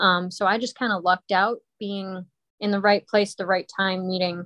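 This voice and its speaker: This woman's voice sits at a medium pitch, with monotone, flat intonation and a moderate pace. The sound is dry and close, with no echo. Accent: American. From Colorado. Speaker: ice hockey referee. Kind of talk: casual interview.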